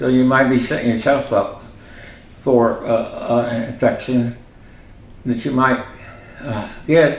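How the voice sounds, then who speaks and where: The speech has monotone, flat intonation and long, frequent pauses, with audible room echo. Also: man, medium pitch for a man, fairly slow pace. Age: 90s. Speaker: retired physician. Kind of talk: oral history interview. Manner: halting, many fillers.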